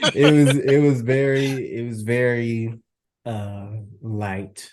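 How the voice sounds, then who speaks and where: The speaker has an American accent, talks at a very slow pace, and keeps the intonation fairly even. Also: man. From Texas, Houston. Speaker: podcast host. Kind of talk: casual chat.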